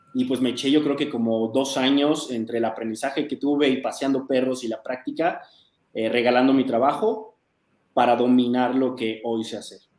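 A man speaks at a moderate pace in an ordinary speaking voice, medium in pitch with fairly even intonation. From Mexico City. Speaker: dog trainer. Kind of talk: interview conversation.

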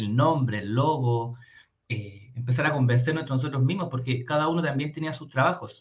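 His voice is somewhat breathy and fairly high for a man. The man keeps a moderate pace with ordinary pitch variation. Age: 30s. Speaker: marketing agency founder. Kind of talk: radio interview.

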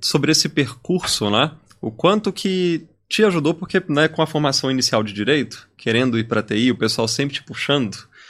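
The recording is very clean, with a silent background. A man with an ordinary speaking voice talks at a fairly high pitch with lively intonation. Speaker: podcast host. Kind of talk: podcast interview.

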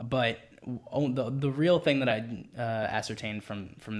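A man speaks at a moderate pace in a plain, everyday voice with ordinary pitch variation. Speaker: music manager. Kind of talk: casual interview chat.

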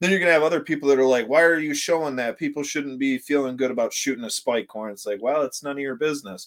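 A man with an American accent speaks at a very fast pace with hardly any pauses. His pitch is fairly high and varies in an ordinary way. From Northern Michigan. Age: 30s. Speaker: hunting YouTuber. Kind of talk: casual interview.

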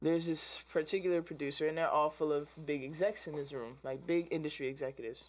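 A woman with an American accent, a very deep, low pitch, fairly even intonation and a very fast pace. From DMV area, US East Coast. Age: 20s. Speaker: musician. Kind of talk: casual interview.

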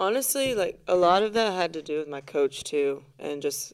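A woman with a normal speaking voice and a fairly low pitch talks at a moderate pace with lively intonation. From US military family, moved around incl. Japan and Europe. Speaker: former college volleyball player and graduate student. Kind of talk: casual chat.

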